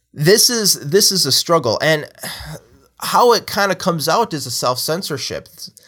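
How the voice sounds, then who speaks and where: A man's high-pitched voice at a moderate pace. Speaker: youth pastor and podcast host. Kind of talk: solo monologue podcast. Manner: halting, many fillers and repetitions.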